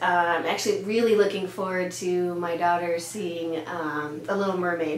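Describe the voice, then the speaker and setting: A woman's medium-pitched voice at a moderate pace, fairly even intonation, with noticeable background noise and audible room echo. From Denmark. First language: Danish. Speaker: pediatrician. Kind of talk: casual interview answers.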